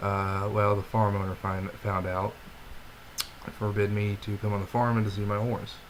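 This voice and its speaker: A man with a fairly low pitch and monotone, flat intonation, moderate pace, long and frequent pauses, and noticeable background noise. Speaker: vlogger. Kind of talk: personal video diary. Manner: halting, disjointed speech.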